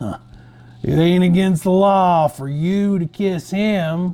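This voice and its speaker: A man puts on a character voice, drawling at a fairly slow pace. His pitch is high, with fairly even intonation. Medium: read story. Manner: slow drawl.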